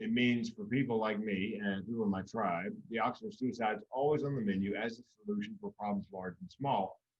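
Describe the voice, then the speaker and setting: A man with a fairly low pitch speaks at a moderate pace with ordinary pitch variation in a normal speaking voice. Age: 60s. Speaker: comedian and mental health public speaker.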